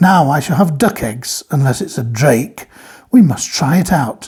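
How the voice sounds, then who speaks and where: A woman puts on a raspy character voice at a very deep, low pitch. She speaks at a moderate pace, and her pitch swings very widely. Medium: read story.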